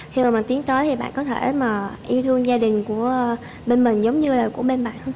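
Monotone, flat intonation from a woman at high pitch and a fairly quick pace, with light background noise. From Southern Vietnam, Tien Giang; Southern Vietnam. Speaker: dating show contestant. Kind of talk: casual chat. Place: studio.

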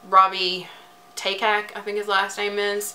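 A woman speaks at a fairly slow pace. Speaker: music reviewer. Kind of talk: casual vlog review. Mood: disappointed, mildly sarcastic. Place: bathroom. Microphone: phone near.

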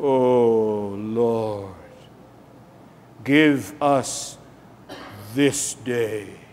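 A man's put-on character voice at medium pitch, fairly even in intonation, with light background noise. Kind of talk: ministerial, pious. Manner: fake, put-on spirituality. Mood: reverent, earnest.

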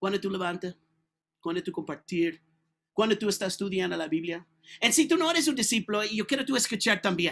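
With an American accent, a man in a high voice speaks at a fairly quick pace, his tone animated and his intonation lively. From California. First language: English (speaking Spanish). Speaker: preacher. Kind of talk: sermon. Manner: halting. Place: home room.

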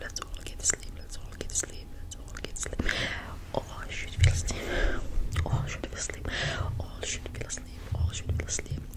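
A woman at a moderate pace with long, frequent pauses. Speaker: ASMR creator. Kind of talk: ASMR sleep hypnosis. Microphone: studio mic.

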